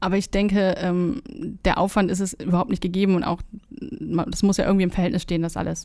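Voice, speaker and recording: Talking very fast, a woman with a medium pitch and a dark, mellow tone keeps her intonation flat and monotone. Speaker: videographer. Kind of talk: casual chat. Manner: calm.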